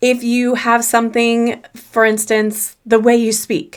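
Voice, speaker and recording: A woman with an American accent, her voice fairly high-pitched, speaking at a fairly slow pace. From US South. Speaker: confidence coach. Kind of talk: solo podcast talk.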